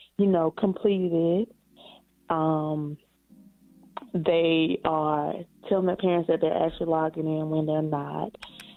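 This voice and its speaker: Music plays behind a woman whose very deep, low voice moves at a fairly slow pace with fairly even intonation and long, frequent pauses. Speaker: teacher. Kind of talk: phone-in caller. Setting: phone call. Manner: laid-back; relaxed. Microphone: muffled speakerphone.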